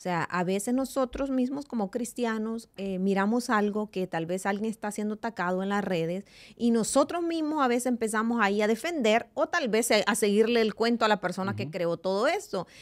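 Over a quiet background, a woman talks at a fairly quick pace with hardly any pauses, lively intonation and an animated tone. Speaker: radio host. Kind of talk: devotional talk. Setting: studio. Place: studio. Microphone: studio mic.

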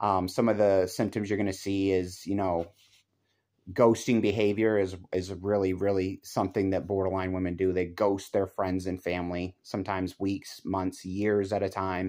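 Over a quiet background, a man speaks at a moderate pace in a very deep, low voice with a dark, mellow tone and flat, monotone intonation. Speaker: relationship commentator. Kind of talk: casual vlog chat. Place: home room. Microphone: phone near.

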